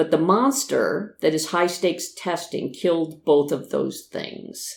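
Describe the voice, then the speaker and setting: Someone speaks at a moderate pace with an American accent. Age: 60s. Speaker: podcast host, retired teacher. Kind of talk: scripted podcast monologue.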